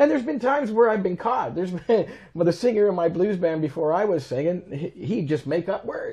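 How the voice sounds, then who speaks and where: A man with an Ontario accent speaks fairly quickly in a high voice with a dark, mellow tone and lively intonation. The background is quiet. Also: hardly any pauses. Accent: Canadian (Ontario). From Canada, Toronto. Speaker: keyboard player and musician; guest. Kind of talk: casual interview chat. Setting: in his home. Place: home room. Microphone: lapel.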